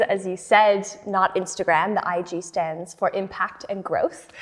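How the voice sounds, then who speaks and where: Noticeable background noise sits behind a woman of medium pitch speaking with a Canadian accent. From Canada, Toronto. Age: 30s. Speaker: strategy consultant. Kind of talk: podcast interview.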